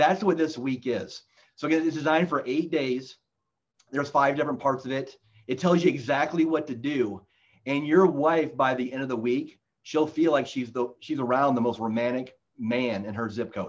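A man speaks at a moderate pace and a fairly high pitch, with ordinary pitch variation, against a quiet background. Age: 40s. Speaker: marriage coach and author; marriage coach. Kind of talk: casual interview. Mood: earnest, encouraging. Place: office. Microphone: video call.

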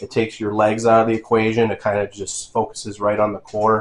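A man talks at a moderate pace with a fairly low pitch. He has an unremarkable speaking voice. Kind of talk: casual tour narration. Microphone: phone near.

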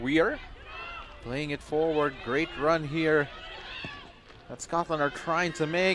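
This man speaks in an energetic tone at a fairly high pitch, with noticeable background noise behind him. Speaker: football commentator. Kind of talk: live match commentary with replay analysis. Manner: fast, energetic play-by-play delivery; rapid, clipped, rising in excitement at chances.

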